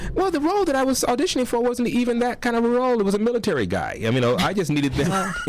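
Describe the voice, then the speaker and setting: Against noticeable background noise, a man with an American accent talks very fast with hardly any pauses, his extremely high pitch making very wide swings while his loudness stays very even. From Los Angeles (Compton). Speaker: actor. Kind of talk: radio interview. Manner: hesitant, many fillers.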